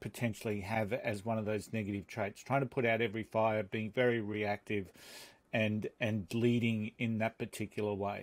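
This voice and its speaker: A man talks at a moderate pace in an Australian accent. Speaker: podcast host and leadership coach. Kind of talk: interview conversation. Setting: remote call. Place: studio. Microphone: studio mic.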